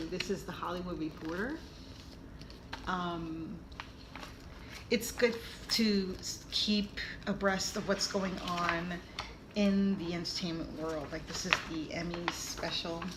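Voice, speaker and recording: A woman with an American accent speaks at a very slow pace in a fairly low pitch with fairly even intonation. Her long, frequent pauses come over noticeable background noise. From New York. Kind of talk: casual talk to camera.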